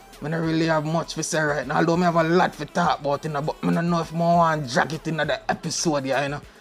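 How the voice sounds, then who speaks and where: With music playing behind him, a man talks at a very fast pace in a Jamaican accent, his fairly high voice held to a flat monotone. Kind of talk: casual podcast talk. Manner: relaxed, laid-back.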